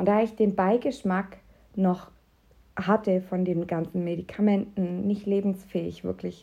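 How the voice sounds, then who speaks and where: Her voice is somewhat breathy, medium in pitch and dark and mellow in tone, delivered with monotone, flat intonation. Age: 30s. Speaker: podcast host and health coach. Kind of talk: promotional pitch; personal monologue. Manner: casual, with filler sounds.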